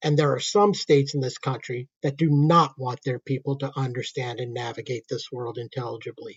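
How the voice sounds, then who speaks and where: A man talks in a medium pitch with fairly even intonation. His voice is somewhat breathy. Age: old. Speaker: political commentator. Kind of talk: political commentary rant.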